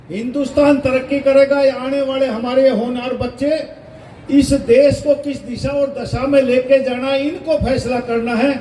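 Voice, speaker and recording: Over noticeable background noise, a man speaks in a flat monotone at an extremely high pitch. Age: 60s. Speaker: politician, state minister. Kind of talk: political speech.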